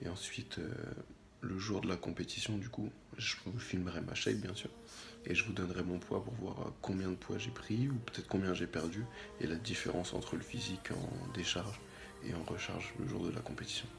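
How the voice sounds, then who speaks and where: A soft-spoken man with a very deep, low pitch talks at a moderate pace with lively intonation. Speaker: bodybuilding vlogger. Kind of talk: vlog.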